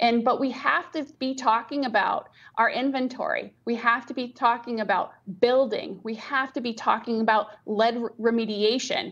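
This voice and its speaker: A woman's high-pitched voice with ordinary pitch variation at a fairly slow pace. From Rhode Island. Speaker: nonprofit executive; interviewee. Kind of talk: news interview. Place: office. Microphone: video call.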